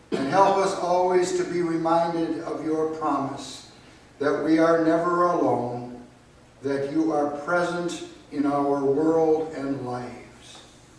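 A voice with fairly even intonation, spoken at a very slow pace against strong room echo. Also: man, fairly high pitch for a man. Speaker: pastor. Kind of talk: liturgy and prayer. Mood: solemn, calm. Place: church. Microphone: camera far.

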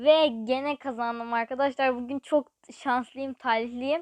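A woman speaks in a high pitch, the sound dry and close with no echo. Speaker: gaming YouTuber. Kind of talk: gameplay commentary. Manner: animated.

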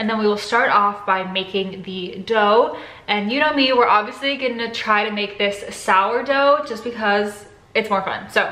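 Against audible room echo, a woman speaks at a moderate pace with fairly even intonation. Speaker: cooking vlogger. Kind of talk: casual vlog chat. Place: kitchen. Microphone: phone near.

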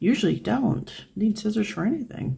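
Noticeable background noise behind a woman's moderate-paced speech. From United States. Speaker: craft video creator. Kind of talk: tutorial. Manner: casual, chatty. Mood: relaxed, friendly.

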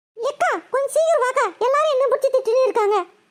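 A squeaky, cartoonish character voice runs at a fairly quick pace with ordinary pitch variation. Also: woman, extremely high pitch for a woman. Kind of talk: Tamil village colloquial. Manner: wheedling, persuasive.

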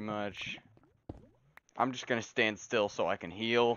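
With a deadpan tone and monotone, flat intonation, a man speaks in a fairly low pitch at a moderate pace. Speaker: gaming streamer. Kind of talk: casual gameplay chat.

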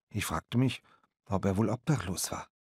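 A man at a medium pitch with ordinary pitch variation and a moderate pace, in a very clean recording with a silent background. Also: dry, close sound with no echo. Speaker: audiobook narrator. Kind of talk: audiobook narration, first-person reading of a boy's story. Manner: measured storyteller pace, with voices for the waitress.

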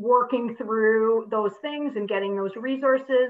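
Ordinary pitch variation marks a woman's speech, set in a quiet background. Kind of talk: event presentation talk. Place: home room. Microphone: video call.

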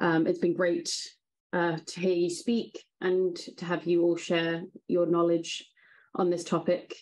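Speaking at a fairly slow pace, a woman keeps a monotone, flat intonation at a fairly low pitch. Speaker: webinar moderator. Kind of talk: webinar moderation. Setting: video call. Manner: formal. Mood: polite, grateful. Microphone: video call.

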